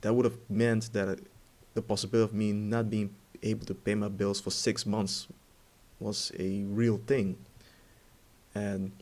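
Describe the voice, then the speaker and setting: Fairly low in pitch, a man speaks slowly-ish at a fairly slow pace with monotone, flat intonation. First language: Dutch. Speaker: ex-Jehovah's Witness vlogger. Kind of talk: personal testimony monologue. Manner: halting, many fillers.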